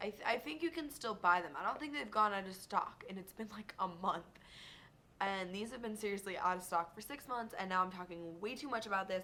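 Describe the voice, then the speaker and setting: A woman speaks with lively intonation and an animated tone, her loudness swinging widely. She leaves long, frequent pauses. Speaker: beauty vlogger. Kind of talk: casual product review vlog. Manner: fast. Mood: chatty, enthusiastic. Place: home room. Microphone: webcam.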